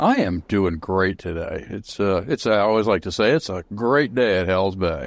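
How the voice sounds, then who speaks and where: With an American accent, a man speaks in a plain, everyday voice, fairly low in pitch, with ordinary pitch variation, at a moderate pace and with hardly any pauses. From Central Florida. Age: 60s. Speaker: boat company owner. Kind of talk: podcast interview. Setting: podcast.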